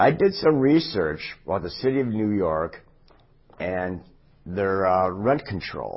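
A man's fairly low-pitched voice at a fairly slow pace, with lively intonation. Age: 60s. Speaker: city council candidate. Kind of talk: candidate interview.

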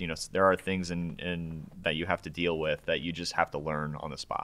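This man speaks with an American accent in a very deep, low voice that has a bright, sharp tone, his intonation fairly even on a very clean recording with a silent background. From Nebraska, Omaha. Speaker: architect and project manager. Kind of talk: interview. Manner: hesitant, many fillers.

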